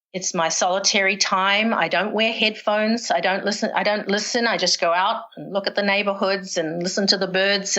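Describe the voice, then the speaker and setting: Intonation stays fairly even in this voice with a New Zealand accent. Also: woman. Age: 60s. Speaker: retired professional distance runner. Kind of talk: podcast interview, personal storytelling.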